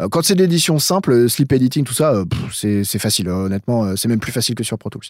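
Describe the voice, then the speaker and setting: At a moderate pace, a man speaks with a medium-pitched voice. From France, Eure-et-Loir near Chartres. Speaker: metal producer and sound engineer. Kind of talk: casual interview. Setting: remote call from his studio control room. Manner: halting, many repetitions.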